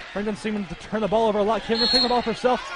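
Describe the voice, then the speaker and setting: The speech comes at a very fast pace with noticeable background noise. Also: man. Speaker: sports commentator. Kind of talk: live commentary. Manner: animated.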